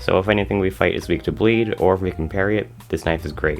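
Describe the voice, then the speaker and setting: A man speaks at a very fast pace with a very deep, low pitch. Music plays in the background. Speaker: gaming video creator. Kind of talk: scripted gameplay commentary voiceover. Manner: stutter.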